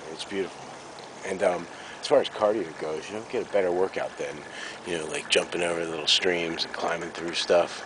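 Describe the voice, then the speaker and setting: Over noticeable background noise, a man talks at a fairly quick pace. His pitch is very deep and low, with fairly even intonation. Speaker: actor vlogging workout training. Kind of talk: outdoor vlog. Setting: outdoors in snowy woods. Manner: hesitant, many fillers; whispering.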